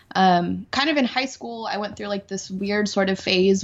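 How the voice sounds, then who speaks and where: A woman's medium-pitched voice at a moderate pace. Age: 30s. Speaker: accountant and roller derby skater. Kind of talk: casual chat. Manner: animated.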